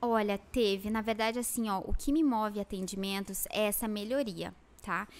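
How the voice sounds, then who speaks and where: A woman keeps a moderate pace and fairly even intonation. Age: 30s. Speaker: lash designer and educator; educator. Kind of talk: interview. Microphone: studio mic.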